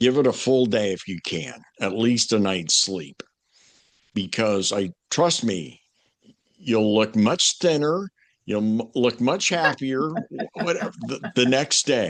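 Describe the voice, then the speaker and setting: A man speaks at a medium pitch with very wide pitch swings. His pace is very slow, with long, frequent pauses. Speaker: former morning radio host, marketing coach and voice coach. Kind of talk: podcast interview answer, conversational coaching advice.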